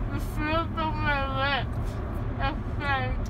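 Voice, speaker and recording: Amid loud background noise, a woman speaks at a very slow pace. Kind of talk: casual vlog chat. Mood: dazed, amused. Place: car. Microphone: phone near.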